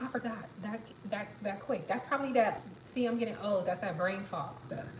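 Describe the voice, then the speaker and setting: A woman talks at a moderate pace, her pitch swinging very widely. Room echo is audible, and background noise is noticeable. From New York, the Bronx. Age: 30s. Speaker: livestreamer. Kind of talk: casual chat. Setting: live stream at home. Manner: halting.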